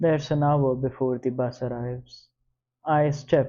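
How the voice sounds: A natural reading voice with fairly even intonation. The background is quiet.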